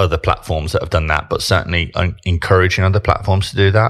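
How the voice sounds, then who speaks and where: In a Brummie accent, a man speaks with a very deep, low pitch. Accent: Birmingham (Brummie). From Birmingham, England. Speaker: digital marketing director, former solicitor. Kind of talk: casual interview chat.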